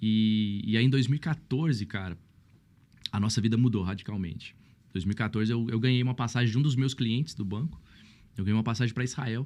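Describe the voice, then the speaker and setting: Fairly quick speech from a man at medium pitch, ordinary pitch variation, on a very clean recording with a silent background. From Brazil, São Paulo state (Mogi). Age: 30s. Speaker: pastor. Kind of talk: podcast interview, casual chat. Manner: animated.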